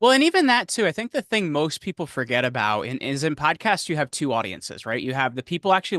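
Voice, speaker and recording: Talking at a very fast pace with a New Jersey accent, a man uses a bright, sharp tone, a fairly high pitch and lively intonation, with a dry, close sound with no echo against a quiet background. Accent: New Jersey American. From New Jersey, US. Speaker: podcast host and media consultant. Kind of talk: interview.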